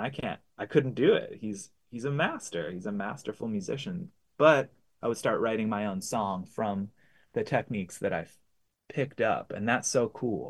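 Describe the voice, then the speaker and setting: At a moderate pace, a man speaks in a plain, everyday voice at medium pitch. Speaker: singer-songwriter and guitar teacher. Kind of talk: interview.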